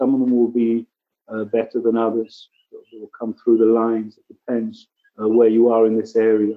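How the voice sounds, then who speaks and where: With an English accent, a man speaks at a moderate pace and medium pitch, his intonation monotone and flat while his loudness swings widely. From England. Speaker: ecology center director. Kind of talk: casual interview chat.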